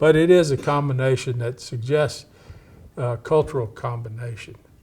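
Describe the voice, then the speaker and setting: A man with a medium pitch speaks at a moderate pace with an American accent. His voice is somewhat breathy, with ordinary pitch variation and big swings in loudness. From East Texas, Cajun family with Louisiana ties. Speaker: historian. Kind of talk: interview. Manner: halting.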